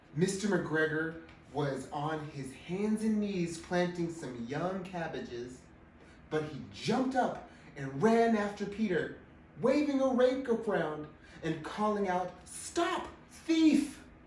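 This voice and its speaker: The voice has an upbeat, playful tone and moves at a very slow pace. Background noise is noticeable throughout. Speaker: drag queen storyteller. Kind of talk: children's story reading.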